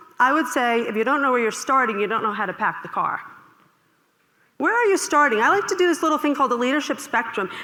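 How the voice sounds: Raising and projecting her voice, a woman with a slight Long Island accent speaks very fast in a high, bright, sharp tone with very wide pitch swings. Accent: light Long Island New York.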